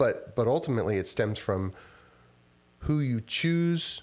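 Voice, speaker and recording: An unremarkable speaking voice talks at a moderate pace in an American accent. The recording is very clean, with a silent background. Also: man. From Texas, Houston area. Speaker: software company founder. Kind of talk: casual interview.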